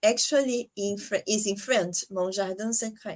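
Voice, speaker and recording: Speaking in a Brazilian accent, a woman's voice sits at a fairly high pitch. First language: Portuguese. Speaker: podcast host. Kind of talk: interview. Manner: halting.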